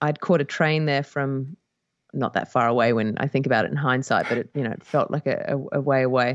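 With an Australian accent, a woman with a very deep, low pitch talks at a fairly quick pace with fairly even intonation. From Australia (Perth, Western Australia). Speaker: musician. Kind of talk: casual chat.

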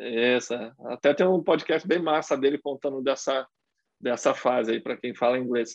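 A man's voice sits at a medium pitch, rising and falling in a normal way as he talks at an average speed. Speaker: motocross racer. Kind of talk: casual chat.

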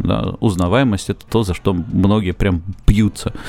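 An unremarkable speaking voice from a man, fairly low in pitch, fairly slow, with fairly even intonation. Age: young. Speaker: quiz host and musician. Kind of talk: casual chat.

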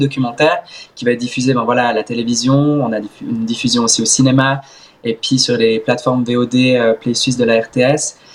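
Over noticeable background noise, a man talks at a moderate pace and medium pitch in a monotone, flat intonation. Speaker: swimmer and content creator. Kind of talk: interview.

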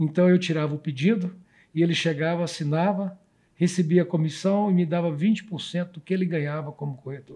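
A man's high-pitched voice with a dark, mellow tone, fairly even intonation, big swings in loudness and a moderate pace. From Brazil, Goiás state. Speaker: real estate company founder. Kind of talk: casual interview chat.

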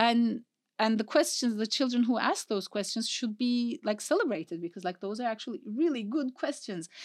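Speaking with a non-native accent, a woman talks at a fairly quick pace in a fairly high voice with lively intonation, in a very clean, dry, close recording with a silent background and no echo. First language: not English. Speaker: mathematics professor. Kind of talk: interview.

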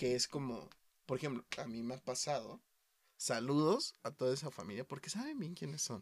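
Medium-pitched man with a Mexican accent, at a moderate pace and with ordinary pitch variation. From Mexico, small town. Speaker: podcast host. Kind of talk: casual chat.

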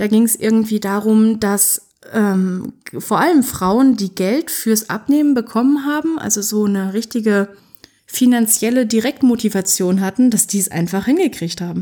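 At a moderate pace, a woman talks with a dark, mellow tone, fairly high pitch and ordinary pitch variation. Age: 20s. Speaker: podcast host, author and self-employed writer. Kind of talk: solo podcast monologue. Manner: casual, chatty.

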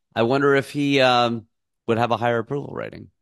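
A man with a normal speaking voice talks at a fairly quick pace in a medium pitch. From United States. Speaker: podcast host. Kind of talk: casual interview conversation.

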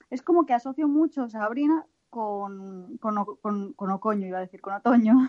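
With a strong northern Spanish accent, the speaker talks at a moderate pace with lively intonation. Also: woman. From northern Spain. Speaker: podcast co-host. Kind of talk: casual chat; reading news aloud.

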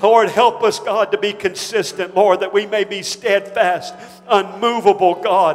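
Over noticeable background noise, a man with a high pitch speaks at a fairly slow pace in a monotone, flat intonation. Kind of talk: congregational prayer led aloud. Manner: fervent, pleading, repeatedly addressing God.

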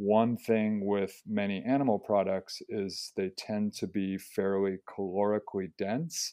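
In a plain, everyday voice, a man speaks fairly slowly with a fairly low pitch and fairly even intonation. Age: 40s. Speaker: health professor and running coach. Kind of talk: interview.

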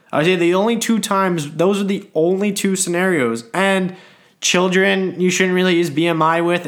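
A man speaking at a fairly slow pace. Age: 20s. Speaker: fitness podcast host. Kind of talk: solo podcast monologue. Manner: casual, somewhat halting.

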